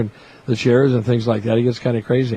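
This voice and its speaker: Very fast speech comes from a man with an American accent. His voice is somewhat breathy. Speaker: public address announcer, former radio disc jockey. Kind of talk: interview answer, storytelling. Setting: press box at a ballpark during a tournament. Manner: friendly, chatty, humorous.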